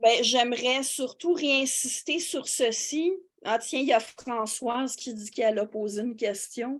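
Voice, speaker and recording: A woman's high-pitched voice with big swings in loudness. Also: ordinary pitch variation, fairly slow pace. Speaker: philosophy teacher and YouTuber. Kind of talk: interview answer in a webinar. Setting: online webinar. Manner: slow; hesitant, many fillers.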